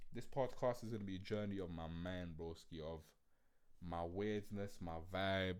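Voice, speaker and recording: This man has a very deep, low pitch and speaks with a London accent. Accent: Multicultural London English. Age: 20s. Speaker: podcast host. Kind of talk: casual monologue podcast. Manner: animated.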